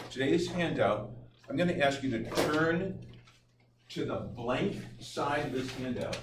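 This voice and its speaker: Amid noticeable background noise and audible room echo, a man with a fairly high pitch speaks at a fairly slow pace with long, frequent pauses. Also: ordinary pitch variation. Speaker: teacher. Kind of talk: lecture. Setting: classroom. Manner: loud. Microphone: no mic, recorded from room.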